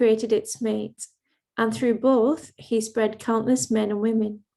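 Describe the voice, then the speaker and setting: A woman speaks at a moderate pace with an English accent. Her pitch is fairly high, yet her tone is dark and mellow. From England. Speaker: event host and lecturer. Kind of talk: formal event introduction. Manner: formal.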